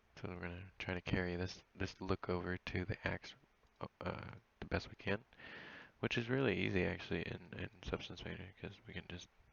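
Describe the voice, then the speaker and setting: A soft-spoken man talks with a very deep, low pitch and ordinary pitch variation. His pace is fairly quick, broken by long, frequent pauses. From New Zealand. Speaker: 3D artist streamer. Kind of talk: tutorial. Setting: live stream at home at night. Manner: casual. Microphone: wireless headset, quiet in recording.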